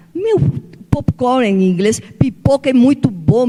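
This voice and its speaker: The speaker uses an animated tone at a fairly slow pace, with noticeable noise in the background. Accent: Spanish. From Peru. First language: Spanish (speaking Portuguese). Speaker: author. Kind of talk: seminar talk.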